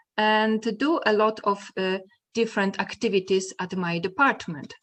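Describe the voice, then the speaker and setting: A woman speaks with a Polish accent at a medium pitch. Her pace is moderate and her pitch varies in an ordinary way. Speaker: mathematics educator. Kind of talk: conference presentation. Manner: halting.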